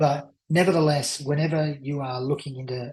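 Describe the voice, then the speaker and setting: This man talks at a moderate pace in a fairly high, somewhat breathy voice with fairly even intonation. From Australia. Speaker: crypto investment presenter. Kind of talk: sales pitch. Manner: hesitant, with fillers.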